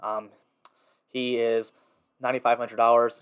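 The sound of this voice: A man's voice at medium pitch, clear and smooth in tone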